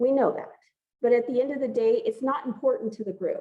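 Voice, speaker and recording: A woman speaks loudly at a moderate pace in a high voice. Her pitch swings very widely. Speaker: pre-health advisor. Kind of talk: group advising meeting. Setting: gym with audience and Zoom.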